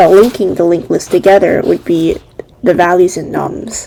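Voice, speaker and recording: Noticeable background noise sits behind the woman as she talks. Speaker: coding tutorial creator. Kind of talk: tutorial.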